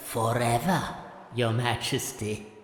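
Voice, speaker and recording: Someone uses a put-on character voice at a low-to-middle pitch. There is clear background noise and a slight echo. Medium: audio drama. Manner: wheedling, sly.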